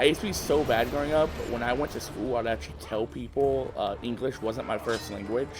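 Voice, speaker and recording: Music plays behind a man speaking at medium pitch and a moderate pace. His intonation is lively. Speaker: gaming youtuber. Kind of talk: casual gameplay commentary. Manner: halting.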